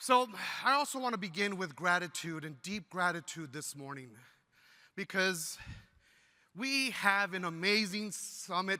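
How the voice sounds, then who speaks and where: A man speaks fairly slowly in an animated, bright, sharp tone at a high pitch, with big swings in loudness. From Texas, El Paso border region. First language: Spanish. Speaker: teacher and union leader. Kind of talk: keynote speech. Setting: stage with audience.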